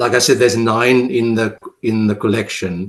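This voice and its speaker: In a South African accent, a man speaks at a fairly slow pace with ordinary pitch variation. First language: Afrikaans. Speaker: poet. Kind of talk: interview. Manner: halting.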